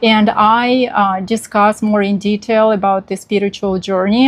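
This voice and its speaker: A woman with a Russian accent, medium in pitch and monotone with flat intonation, against noticeable background noise. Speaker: vlogger. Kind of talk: casual vlog talk. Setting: outdoors on balcony. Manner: halting, many fillers.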